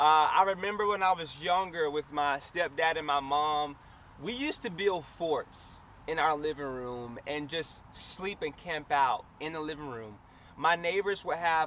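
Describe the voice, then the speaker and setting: Speaking in a Southern US accent, a man has a bright, sharp tone and a fairly high pitch at a fairly slow pace. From US South, Alabama. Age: 20s. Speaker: vlogger and entrepreneur. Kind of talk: vlog talking to camera. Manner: casual, conversational.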